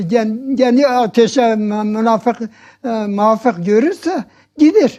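A man with an extremely high pitch and a dark, mellow tone speaks at a very slow pace with ordinary pitch variation. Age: 80s+. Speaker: religious elder being interviewed. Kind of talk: interview answer, religious talk.

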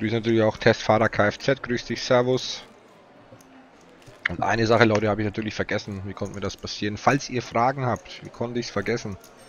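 A man talks very fast over light background noise, the sound dry with no echo. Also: medium pitch for a man. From Franconia, Germany (Nuremberg area); Germany. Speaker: poker commentator. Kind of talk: live commentary. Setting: commentator booth at live event. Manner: animated. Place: booth.

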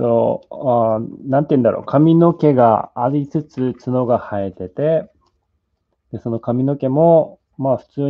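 The speaker has a Japanese accent. Pitch variation is ordinary. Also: man. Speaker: sculptor; sculptor demonstrating live. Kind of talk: live sculpting demo, bilingual English and Japanese. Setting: live stream from studio in LA. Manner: halting, hesitant English with many fillers. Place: workshop.

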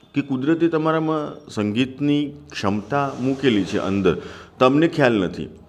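A man speaks with a normal speaking voice at a fairly high pitch. His intonation is lively. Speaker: music teacher. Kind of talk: tutorial.

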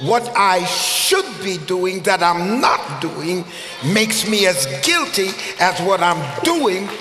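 A man speaks at a very slow pace, with audible echo in the room. Light background noise sits underneath. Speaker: preacher. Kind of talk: sermon. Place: church. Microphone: headset.

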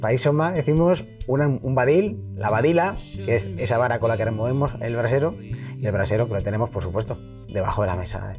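Music plays behind a man speaking at a medium pitch. He talks at a fairly quick pace with lively intonation. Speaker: regional language association president. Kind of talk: guided house tour for TV.

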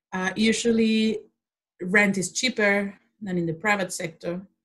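A woman speaks with a Spanish accent. Her pitch sits in the medium range. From Mexico. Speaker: social policy lecturer. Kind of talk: interview.

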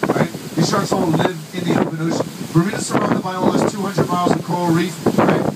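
A man races through his words very fast while loud noise fills the background. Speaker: tour guide. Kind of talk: tour guide talk with jokes. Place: boat.

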